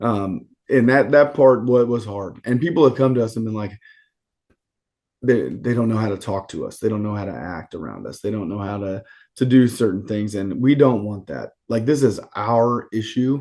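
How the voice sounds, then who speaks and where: At a moderate pace, a man with a medium pitch and a dark, mellow tone speaks with ordinary pitch variation and big swings in loudness over a quiet background. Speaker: podcast guest, sports coach. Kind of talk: casual chat.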